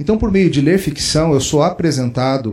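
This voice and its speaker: Somewhat breathy delivery at a moderate pace, with very wide pitch swings. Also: man. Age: 40s. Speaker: pastor and author. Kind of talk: interview conversation. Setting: book fair recording.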